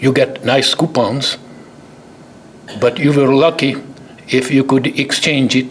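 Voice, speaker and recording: Fairly high-pitched man with a Hungarian accent, fairly slow and full of long, frequent pauses, over noticeable background noise. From Hungary. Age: 80s+. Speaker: chemist, award recipient. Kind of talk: award acceptance speech.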